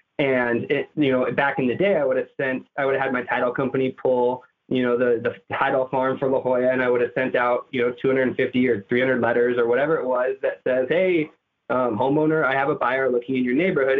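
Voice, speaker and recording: A man with an unremarkable speaking voice talks at a fairly quick pace and a medium pitch, with very even loudness and fairly even intonation. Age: 30s. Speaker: real estate agent. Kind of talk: interview.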